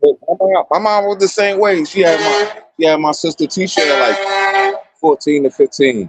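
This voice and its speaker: Over music in the background, a man speaks at a high pitch with hardly any pauses. The sound is dry and close, with no echo. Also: ordinary pitch variation, moderate pace. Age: 40s. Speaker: radio host. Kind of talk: casual chat. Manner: animated.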